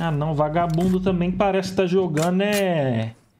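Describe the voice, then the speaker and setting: Over noticeable background noise, a man with a high pitch and ordinary pitch variation speaks at a fairly slow pace. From Brazil. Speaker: gaming youtuber. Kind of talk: gameplay reaction commentary. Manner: animated. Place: home room.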